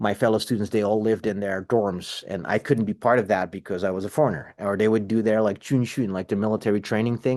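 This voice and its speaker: A man with a Dutch accent, fairly low-pitched, talking at a very fast pace against a quiet background. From Netherlands (south, near Germany and Belgium). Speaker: cinematographer and film teacher. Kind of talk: interview. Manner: animated; clear.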